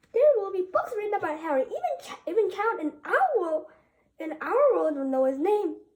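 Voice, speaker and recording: A woman puts on a character voice, projecting it loudly at an extremely high pitch and a moderate pace. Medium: read story. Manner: faltering, emotional.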